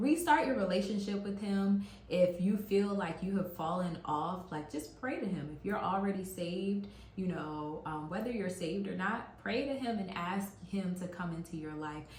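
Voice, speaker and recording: A woman with an American accent speaks at a moderate pace in a medium pitch with ordinary pitch variation, with audible room echo and noticeable background noise. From US, West African family. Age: 30s. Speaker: YouTuber sharing faith testimony. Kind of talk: testimony. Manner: casual, hesitant with fillers.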